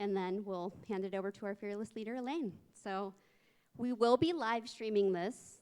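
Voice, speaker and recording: Recorded very cleanly against a silent background, a woman with a fairly high pitch talks at a fairly quick pace. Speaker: event emcee. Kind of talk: event announcements. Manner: fast.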